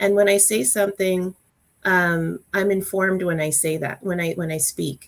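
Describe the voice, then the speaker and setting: Soft-spoken and in a Canadian accent, a woman talks at a moderate pace. Her pitch is medium, with ordinary variation. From Calgary, Alberta, Canada. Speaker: workplace diversity guest. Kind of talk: panel discussion. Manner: halting, many fillers.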